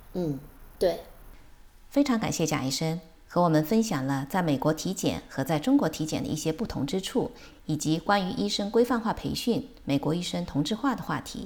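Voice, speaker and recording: Pitched fairly low, a woman's voice moves at a moderate pace with very wide pitch swings. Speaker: podcast host and physician. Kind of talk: scripted outro; interview.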